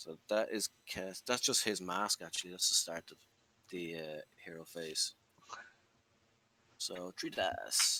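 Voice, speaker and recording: Fairly slow speech with an Irish accent, marked by long, frequent pauses, in a dry, close sound with no echo. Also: man, big swings in loudness. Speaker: wargaming player. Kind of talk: casual chat.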